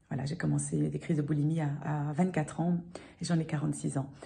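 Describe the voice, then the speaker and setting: A woman speaks in a very deep, low voice. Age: 40s. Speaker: client testimonial. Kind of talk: testimony. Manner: halting.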